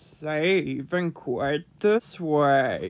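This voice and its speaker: In a put-on character voice, the speaker holds a middle pitch. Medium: solo performance. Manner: instructive, friendly.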